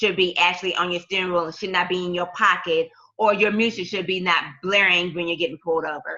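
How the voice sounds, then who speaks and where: In a normal speaking voice, a woman with an American accent talks at a moderate pace, her medium pitch showing ordinary pitch variation. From US South, Tulsa, Oklahoma. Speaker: school counselor. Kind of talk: interview.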